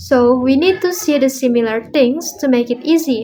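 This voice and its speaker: A woman speaks in an Indonesian accent with a high pitch and ordinary pitch variation. Her pace is fairly slow. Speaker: language student. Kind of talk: speaking assignment monologue. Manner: halting.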